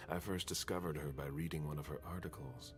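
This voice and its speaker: A man rattles off lines very fast in a put-on character voice, with clear background noise behind him. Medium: video game. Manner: curt, controlled.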